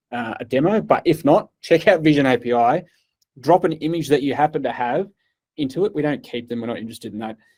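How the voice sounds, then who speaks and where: With an Australian accent, a man talks very fast at a fairly high pitch, his intonation lively, on a very clean recording with a silent background. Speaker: cloud partner engineer giving keynote. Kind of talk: keynote talk.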